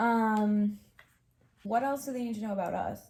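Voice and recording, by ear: A woman at a medium pitch with an American accent. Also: ordinary pitch variation, moderate pace, slightly mellow tone.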